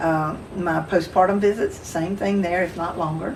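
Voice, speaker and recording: Over noticeable background noise, a woman with a Southern US accent speaks in a fairly low voice with monotone, flat intonation. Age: 60s. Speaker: midwife. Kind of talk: casual chat.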